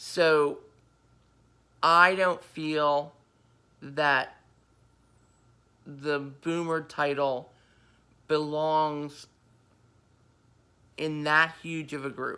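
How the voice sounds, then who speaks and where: With an American accent, a woman speaks at a very slow pace with long, frequent pauses, very deep, low pitch, a bright, sharp tone and monotone, flat intonation on a very clean recording with a silent background. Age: 50s. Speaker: vlogger. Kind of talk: casual monologue. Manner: halting, many fillers.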